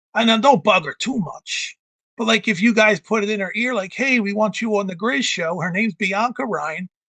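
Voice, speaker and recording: A loud man with an American accent, high-pitched with ordinary pitch variation and a bright, sharp tone, in a dry, close sound with no echo. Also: moderate pace. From Philadelphia. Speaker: live show host. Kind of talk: casual chat. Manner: excitable, loud; quieter indoor voice now.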